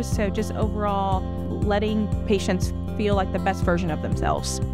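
Moderate pace and dry sound with no echo, over loud music in the background. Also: woman. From Louisiana, US South. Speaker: nurse practitioner. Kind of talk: staff introduction talk to camera. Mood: warm, friendly. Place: office. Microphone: lapel.

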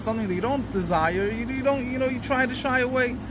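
There is no echo in this dry sound, though noticeable background noise is present. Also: man. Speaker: religious teacher. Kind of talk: lecture. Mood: earnest, explaining. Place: street.

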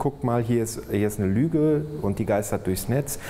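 A man at a fairly quick pace with ordinary pitch variation over light background noise. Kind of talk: interview answer. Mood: relaxed, friendly. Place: office. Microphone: lapel.

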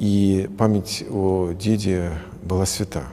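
Light background noise behind a man's very deep, low voice with fairly even intonation. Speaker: priest. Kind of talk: interview answer. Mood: warm, reflective. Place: church.

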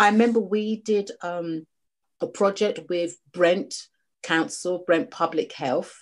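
In a British accent, a woman talks at a very slow pace with a medium pitch and ordinary pitch variation. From UK. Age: 40s. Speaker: charity founder, living kidney donor. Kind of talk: interview. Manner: halting.

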